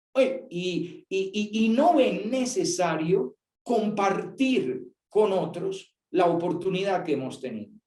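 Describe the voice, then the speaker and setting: Very wide pitch swings from a man, with music in the background. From Colombia. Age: 60s. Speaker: priest. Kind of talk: talk to young people.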